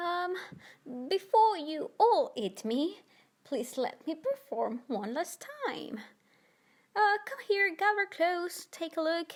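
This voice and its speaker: A woman's put-on character voice, extremely high in pitch with very wide pitch swings, at a fairly slow pace broken by long, frequent pauses. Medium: read story. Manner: polite, charming.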